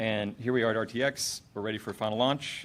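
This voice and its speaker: This man talks at a medium pitch. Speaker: game studio head presenting at a panel. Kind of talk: convention panel presentation. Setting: stage with audience. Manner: fast; halting, many fillers.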